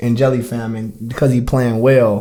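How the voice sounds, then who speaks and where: A somewhat breathy man speaks at a moderate pace. Room echo is audible around him. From US Midwest, Chicago. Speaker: podcast co-host. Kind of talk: casual chat.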